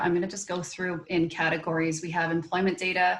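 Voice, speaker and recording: Here a woman talks at a fairly quick pace with a Canadian accent. Her voice is fairly low in pitch. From Canada. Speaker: local government economic development manager. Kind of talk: presentation.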